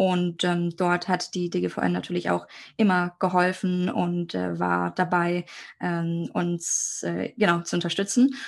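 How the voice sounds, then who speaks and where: Against a quiet backdrop, a woman's words come out very slowly. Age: 20s. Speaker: international law student. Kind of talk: educational podcast conversation.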